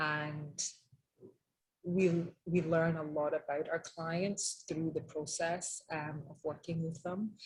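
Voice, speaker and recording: In a Scottish accent, a woman speaks at a fairly slow pace with a fairly low pitch. Her voice is somewhat breathy, with monotone, flat intonation. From Scotland, Edinburgh. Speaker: interior designer. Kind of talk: webinar presentation. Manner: many filler ums.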